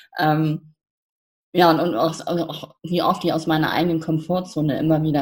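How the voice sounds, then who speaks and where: Her voice is very deep and low. The woman keeps a moderate pace. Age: 50s. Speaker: coach, founder of youth coaching platform. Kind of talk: interview. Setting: podcast interview.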